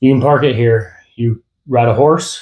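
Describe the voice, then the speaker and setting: A gruff put-on character voice moves at a moderate pace with fairly even intonation. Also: man. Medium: read story. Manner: terse, gruff.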